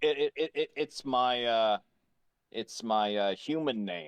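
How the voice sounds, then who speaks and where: Here a man uses a put-on character voice. His pitch is medium and his pace fairly slow. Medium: actual play.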